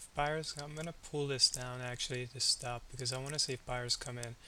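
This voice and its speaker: A quiet man's voice at medium pitch, moderate pace and fairly even intonation. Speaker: day trader. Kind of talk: live trading commentary. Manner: halting.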